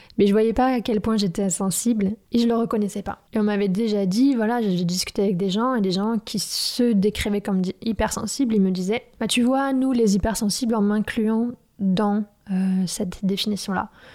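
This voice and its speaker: Noticeable background noise sits behind a woman's fairly high voice. She speaks at a moderate pace with fairly even intonation. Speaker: podcaster and personal coach. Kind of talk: personal monologue. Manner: hesitant, many fillers.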